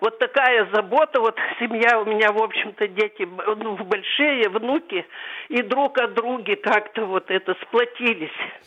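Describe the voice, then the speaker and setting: Over noticeable background noise, a woman speaks slowly at a fairly high pitch, with ordinary pitch variation and very even loudness. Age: 70s. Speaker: caller. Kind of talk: phone-in call.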